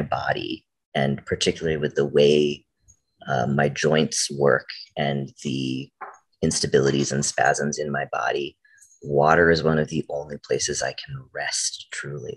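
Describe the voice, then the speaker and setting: Fairly slow speech from a man, the background quiet. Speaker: poet. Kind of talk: panel discussion talk. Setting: video call. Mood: warm, reflective. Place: home room.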